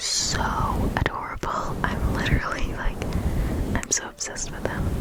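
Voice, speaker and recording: The speaker is whispering. Noticeable noise sits in the background. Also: woman. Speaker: ASMR creator. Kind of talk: ASMR shopping haul. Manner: whispered, soft-spoken.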